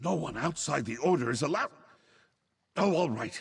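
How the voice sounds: A man puts on a character voice, fairly high in pitch, with a husky, rough edge and vocal fry. His intonation is lively and his pace moderate.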